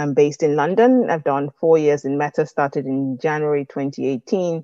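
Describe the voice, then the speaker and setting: Speech at a fairly quick pace with ordinary pitch variation comes through a dry, close sound with no echo and a quiet background. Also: woman. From Nigeria. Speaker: tech community manager. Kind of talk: casual interview chat. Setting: video call. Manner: structured, eloquent.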